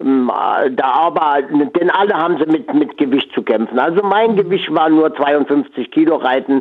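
This man's voice sits fairly high, with ordinary pitch variation. He speaks at a very slow pace. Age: 80s+. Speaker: former jockey running a horse sanctuary. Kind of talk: radio interview. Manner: halting.

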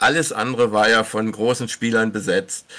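With vocal fry and ordinary pitch variation, a man speaks at medium pitch. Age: 70s. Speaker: former professional footballer. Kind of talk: interview. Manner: halting.

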